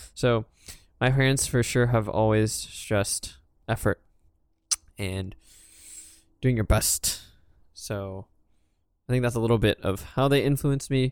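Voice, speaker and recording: Recorded very cleanly against a silent background, the sound is dry and close with no echo. A man speaks at a medium pitch with ordinary pitch variation and long, frequent pauses. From US, child of Hong Kong immigrants. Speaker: podcast co-host. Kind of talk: casual chat. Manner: halting.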